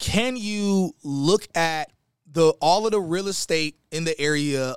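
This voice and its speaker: The recording is very clean, with a silent background and a dry, close sound with no echo. A man talks at a high pitch with lively intonation. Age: 30s. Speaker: tech sales professional, former Marine. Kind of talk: casual interview.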